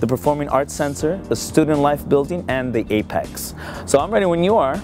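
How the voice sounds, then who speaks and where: Over clear music in the background, a man talks at a fairly quick pace in a dry sound with no echo. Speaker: campus tour guide. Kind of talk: tour presentation to camera. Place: street.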